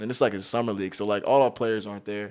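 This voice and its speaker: On a very clean recording with a silent background, a man talks with an American accent. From Southern California. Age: 20s. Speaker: middle school staff member. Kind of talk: casual chat.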